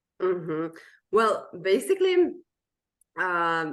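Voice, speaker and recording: A woman with a Serbian accent speaks at a medium pitch with ordinary pitch variation over a quiet background. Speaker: language coach. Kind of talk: interview.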